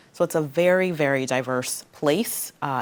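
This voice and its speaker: This woman talks in a very deep, low pitch. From Guyana. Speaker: local politician, school board member. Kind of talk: interview.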